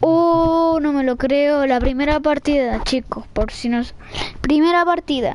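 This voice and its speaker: A woman with a high pitch talks at a fairly slow pace, keeping very even loudness and ordinary pitch variation over noticeable background noise. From Chile, Santiago. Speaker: gaming streamer. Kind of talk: live gameplay commentary. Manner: animated.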